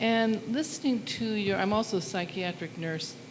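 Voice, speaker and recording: Moderate pace, ordinary pitch variation, and an American accent, with audible room echo. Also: woman. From southern Oregon, US. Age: 70s. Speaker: audience member. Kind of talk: personal testimony at community gathering. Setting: studio with live audience. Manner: halting.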